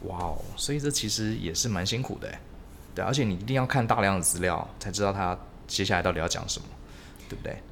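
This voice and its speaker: A man speaks very fast in a fairly low pitch with ordinary pitch variation. Echo from the room is audible. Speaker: podcast host. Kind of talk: casual interview chat.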